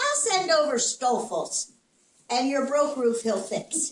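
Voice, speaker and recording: Putting on a gruff character voice, a woman talks fairly slowly in a high pitch with lively intonation. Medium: read story. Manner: gruff, grumbling.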